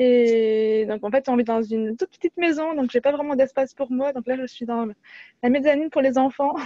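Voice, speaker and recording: Her voice is high-pitched, and its pitch rises and falls in an ordinary way. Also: moderate pace. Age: 30s. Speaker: workshop participant. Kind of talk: testimony. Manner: stumbles over words.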